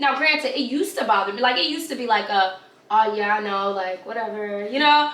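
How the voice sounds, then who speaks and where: With a New York accent, a woman uses a raised, projected voice and lively intonation at a fairly quick pace, amid audible room echo and noticeable background noise. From New York, Brooklyn. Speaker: YouTuber. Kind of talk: casual chat. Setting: filming a video.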